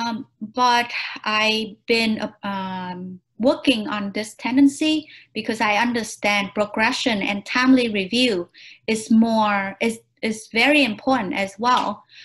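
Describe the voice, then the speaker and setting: At a very slow pace, a woman speaks at a fairly high pitch. Her pitch varies in an ordinary way. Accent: Vietnamese. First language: Vietnamese. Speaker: job interview candidate. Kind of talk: mock job interview answers. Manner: halting, many fillers.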